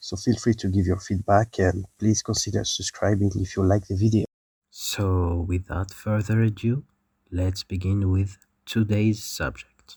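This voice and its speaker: A man's fairly low, somewhat breathy voice with a dark, mellow tone, monotone, flat intonation, and a fairly slow pace, in a dry, close sound with no echo and a very clean recording with a silent background. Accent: non-native. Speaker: educational YouTuber. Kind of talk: scripted narration.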